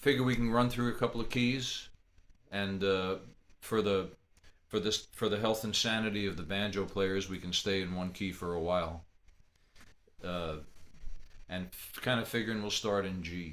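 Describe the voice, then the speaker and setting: A man speaks at a moderate pace with a fairly low pitch and ordinary pitch variation. He leaves long, frequent pauses, and audible room echo surrounds him. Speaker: fiddler teaching a slow jam. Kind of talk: online music workshop talk. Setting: video call from home office. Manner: quiet speaking voice; casual, halting with repetitions.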